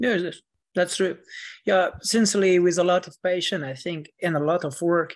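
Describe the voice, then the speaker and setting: A high-pitched man with a French accent at a moderate pace, fairly even intonation and a quiet background. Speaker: author. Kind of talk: interview.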